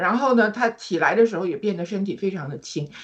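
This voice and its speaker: Very wide pitch swings mark this woman's speech. She talks at a fairly quick pace. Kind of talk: personal religious testimony. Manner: warm and enthusiastic.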